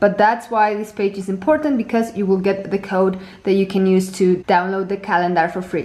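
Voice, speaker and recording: The speaker goes at a fairly quick pace with fairly even intonation. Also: woman, medium pitch for a woman. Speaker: planner designer and tutorial creator. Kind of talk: product tutorial. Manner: fast.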